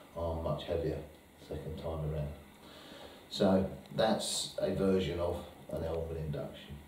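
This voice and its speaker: A man with a very deep, low voice speaks with fairly even intonation and long, frequent pauses. Audible room echo and light background noise are present. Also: moderate pace. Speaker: hypnotherapist demonstrating technique. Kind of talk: hypnosis induction and training demo, alternating with casual teaching commentary. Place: meeting room. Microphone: camera far.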